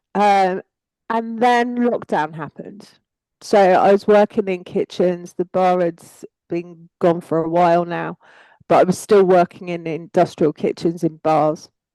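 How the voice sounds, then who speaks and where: A woman speaks fairly slowly at a medium pitch with fairly even intonation. Her tone is dark and mellow, in a dry, close sound with no echo. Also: long, frequent pauses. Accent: strong English. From England. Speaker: psychic energy worker. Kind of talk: casual chat.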